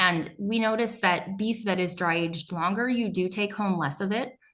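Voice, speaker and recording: With an ordinary speaking voice, a woman talks at a fairly slow pace, at medium pitch with ordinary pitch variation. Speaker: meat processor. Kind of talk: presentation.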